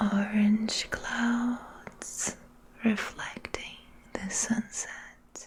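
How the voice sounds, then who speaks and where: At a very slow pace, the speaker whispers over noticeable background noise. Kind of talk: guided meditation / ASMR relaxation narration. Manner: soft-spoken, slow.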